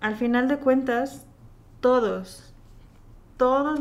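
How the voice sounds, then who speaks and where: The speaker has a Mexican accent and ordinary pitch variation. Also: woman. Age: 20s. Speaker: churchgoer sharing her faith story. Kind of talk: testimony.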